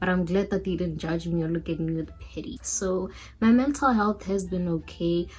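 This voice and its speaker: A woman's somewhat breathy, fairly low voice in an African accent, at a moderate pace with ordinary pitch variation. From Botswana. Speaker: YouTuber. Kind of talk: casual vlog chat.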